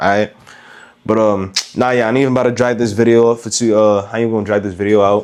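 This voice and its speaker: Speaking very fast, a man with a fairly low pitch keeps a monotone, flat intonation. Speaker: gun review youtuber. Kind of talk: casual vlog review. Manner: halting, repetitive.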